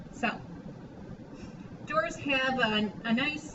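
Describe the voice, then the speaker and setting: A woman with a high pitch and lively intonation is heard with audible room echo and noticeable background noise. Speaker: art teacher. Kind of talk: tutorial. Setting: recorded drawing lesson video. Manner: casual.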